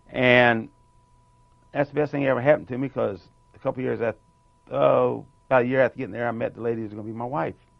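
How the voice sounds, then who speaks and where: Amid noticeable background noise, a man speaks very fast at a medium pitch with fairly even intonation, big swings in loudness and long, frequent pauses. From North Carolina. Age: 60s. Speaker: war veteran. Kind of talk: interview.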